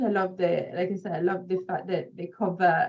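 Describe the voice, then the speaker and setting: A woman speaks with a strong non-native accent. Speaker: children's book interview host. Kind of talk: interview chat.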